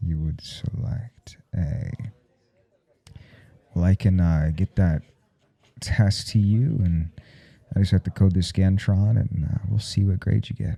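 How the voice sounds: In a put-on character voice, a man speaks at a low pitch with a dark, mellow tone and vocal fry. He goes at a fairly slow pace with fairly even intonation and long, frequent pauses.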